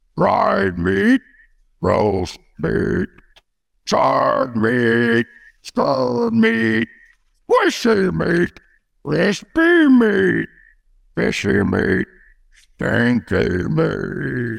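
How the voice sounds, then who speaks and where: A put-on character voice at a very slow pace, with long, frequent pauses. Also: man. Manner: broken simple speech, eager.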